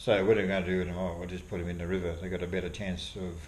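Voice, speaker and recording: A man with an Australian accent and a very deep, low pitch sounds somewhat breathy, with audible room echo. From Australia, Victoria (moved from abroad at ten). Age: 60s. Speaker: fly fisherman and wildlife artist. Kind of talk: casual interview.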